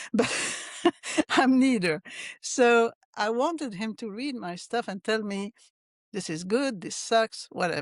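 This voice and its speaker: A woman with a French accent speaks at a fairly slow pace and a fairly high pitch, with long, frequent pauses and big swings in loudness. The sound is dry and close with no echo, against a quiet background. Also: lively intonation. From Belgium, French-speaking. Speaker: crime novelist. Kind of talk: interview.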